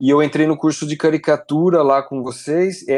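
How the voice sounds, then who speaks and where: This man has a fairly high pitch and speaks at a moderate pace. It is an ordinary speaking voice. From Brazil, Piracicaba (São Paulo state). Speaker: illustrator, game artist. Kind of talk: casual interview. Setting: remote call from home.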